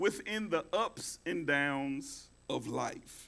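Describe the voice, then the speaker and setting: Bright, sharp tone from a male speaker. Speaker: pastor. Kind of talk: sermon. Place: church.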